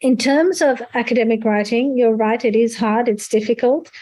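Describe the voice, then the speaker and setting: A woman's fairly high, dark, mellow voice with fairly even intonation and very even loudness. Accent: non-native. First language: not English. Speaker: conference speaker on academic writing. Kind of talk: Q&A answer at an online seminar.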